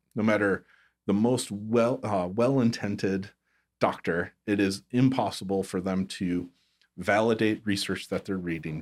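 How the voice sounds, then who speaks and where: A normal speaking voice from a man, fairly low in pitch with fairly even intonation at a moderate pace, on a very clean recording with a silent background. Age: 40s. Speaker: chiropractor and health tech entrepreneur. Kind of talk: casual interview.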